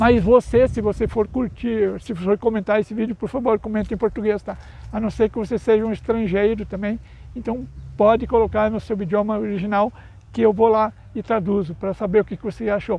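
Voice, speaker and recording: A man speaks at a fairly quick pace and high pitch with monotone, flat intonation. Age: 60s. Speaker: YouTuber and speaker on mental health. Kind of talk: casual vlog monologue. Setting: outdoors. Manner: halting, with self-corrections.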